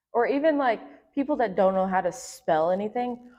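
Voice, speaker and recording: With a Southern US accent, a woman speaks with very wide pitch swings. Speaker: podcast co-host. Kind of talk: casual chat.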